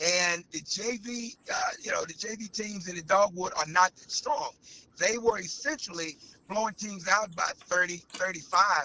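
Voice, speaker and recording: Amid noticeable background noise, a high-pitched man speaks at a moderate pace in a raised, projected voice, with big swings in loudness and ordinary pitch variation. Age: 60s. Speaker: high school girls basketball head coach. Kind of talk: interview.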